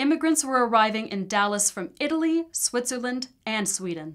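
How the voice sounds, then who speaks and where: A woman with a plain, everyday voice, fairly high pitch, lively intonation and moderate pace, in a very clean recording with a silent background. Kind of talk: documentary narration.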